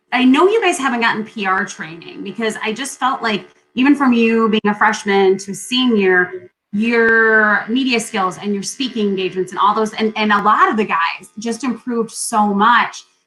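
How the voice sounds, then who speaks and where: A woman speaks loudly at a moderate pace with a bright, sharp tone, ordinary pitch variation and hardly any pauses. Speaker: podcast host. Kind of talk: interview. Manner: talkative. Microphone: poor sound quality from technical difficulties.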